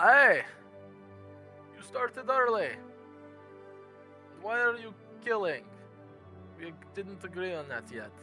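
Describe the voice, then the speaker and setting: A booming, put-on character voice with a fairly high pitch moves at a fairly slow pace. It leaves long, frequent pauses over clear music in the background. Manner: loud, reproachful.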